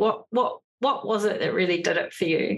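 At a moderate pace, a woman with a New Zealand accent speaks at a medium pitch with ordinary pitch variation. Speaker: podcast host. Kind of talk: interview.

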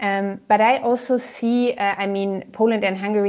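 A woman at a medium pitch with monotone, flat intonation. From Germany, Gelsenkirchen. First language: German. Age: 30s. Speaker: politician. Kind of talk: interview.

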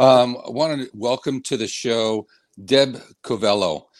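A man's unremarkable speaking voice at a medium pitch, with ordinary pitch variation, in a very clean recording with a silent background. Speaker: host. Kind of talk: casual interview. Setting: live stream.

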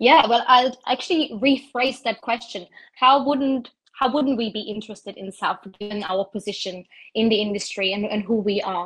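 In a German accent, a woman talks at a moderate pace with a fairly high pitch. Her pitch varies in an ordinary way. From southern rural Germany. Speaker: corporate sustainability director. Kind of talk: interview.

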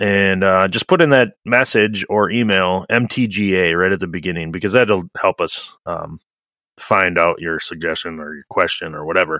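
A man's very deep, low voice with ordinary pitch variation and big swings in loudness. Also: moderate pace, dry, close sound with no echo, very clean recording, silent background. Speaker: trades podcast host, plumber. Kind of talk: casual chat.

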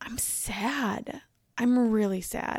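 Recorded very cleanly against a silent background, a woman speaks with a slightly mellow tone. Her voice is raspy, with vocal fry and a slightly husky edge.

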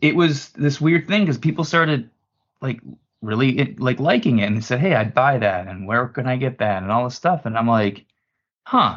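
With a normal speaking voice, a man talks at a moderate pace and medium pitch. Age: 40s. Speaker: apparel company president. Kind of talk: casual chat.

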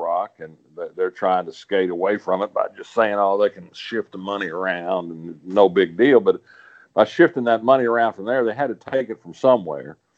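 A man talks in an Arkansas accent at a moderate pace. His pitch is fairly low. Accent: Southern US (Arkansas). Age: 70s. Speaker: political columnist, regular commentator. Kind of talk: casual political commentary chat. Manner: halting, repeats words.

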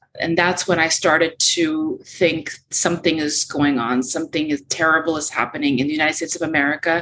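Bright and sharp in tone, the voice moves at a fairly quick pace with fairly even intonation and hardly any pauses. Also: woman, very deep, low pitch for a woman. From Ukraine, raised in US from age six. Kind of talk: interview.

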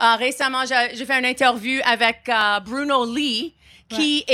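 At a moderate pace, a woman speaks in a high, bright, sharp voice with fairly even intonation. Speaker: comedian and podcast host. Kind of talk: interview. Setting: live stage at comedy festival.

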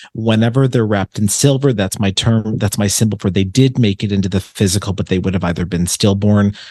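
Fairly low in pitch with ordinary pitch variation, a man talks at a fairly quick pace with hardly any pauses in an unremarkable speaking voice. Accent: American. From Buffalo, New York. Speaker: psychic medium. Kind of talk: casual chat.

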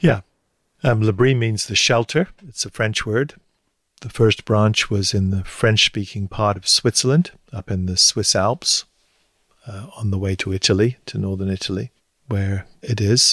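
In a southern English accent, a man speaks at a fairly low pitch and fairly slow pace with ordinary pitch variation. The sound is dry and close with no echo, on a very clean recording with a silent background. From southern England, Hampshire. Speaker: retired theology professor. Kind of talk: interview.

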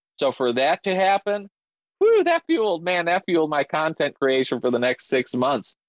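A man with an American accent and an ordinary speaking voice talks at a moderate pace, fairly high in pitch, with lively intonation and very even loudness. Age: 30s. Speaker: drummer and content creator. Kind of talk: casual interview chat.

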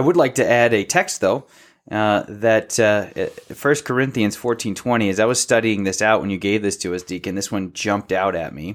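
A man speaks in a normal speaking voice at a moderate pace. His pitch is fairly low, with ordinary pitch variation. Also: very clean recording, silent background. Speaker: podcast co-host discussing theology. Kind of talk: casual theological discussion.

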